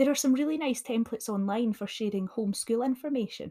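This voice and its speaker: Speaking in a Scottish accent, a woman talks at a fairly quick pace with lively intonation. Her voice is fairly high in pitch, with a dark, mellow tone. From Scotland. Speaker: additional support needs teacher. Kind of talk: solo podcast talk, teaching tips.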